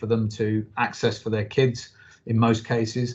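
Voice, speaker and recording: A man's fairly low, somewhat breathy voice in a monotone, flat intonation. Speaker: football club chief executive. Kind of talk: interview answer.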